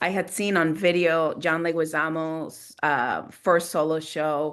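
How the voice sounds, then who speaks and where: A woman speaks in a fairly low voice with a Latin American accent. The background is quiet. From Guatemala, Montreal and Los Angeles. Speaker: theater maker. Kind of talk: panel discussion. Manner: halting.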